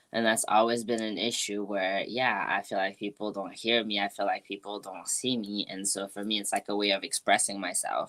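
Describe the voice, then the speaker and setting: A woman's very deep, low voice in a French accent, monotone and flat, at a fairly quick pace with hardly any pauses. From France. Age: 20s. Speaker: music producer and artist. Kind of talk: interview conversation.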